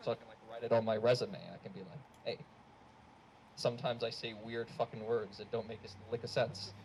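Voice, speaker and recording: In an American accent, a man talks at a fairly quick pace and medium pitch, somewhat breathy, with fairly even intonation and big swings in loudness. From Australia. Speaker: student stand-up comedian. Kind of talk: stand-up. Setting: stage with audience.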